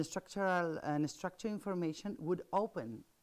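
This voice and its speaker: At a moderate pace, a woman speaks with lively intonation in a dark, mellow tone at a fairly low pitch. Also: very clean recording, silent background. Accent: Spanish. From Spain. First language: Spanish. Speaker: architect and professor. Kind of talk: lecture. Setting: seminar panel. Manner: halting.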